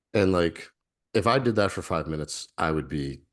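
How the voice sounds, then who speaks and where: Lively intonation and vocal fry mark this man's very deep, low voice. He speaks at a moderate pace against a quiet background. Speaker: breathwork facilitator and shaman. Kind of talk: interview conversation. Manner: methodical.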